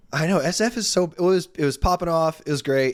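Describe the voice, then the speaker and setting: A man with a normal speaking voice, fairly quick pace and lively intonation. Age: 30s. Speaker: sports podcast co-host. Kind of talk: casual chat.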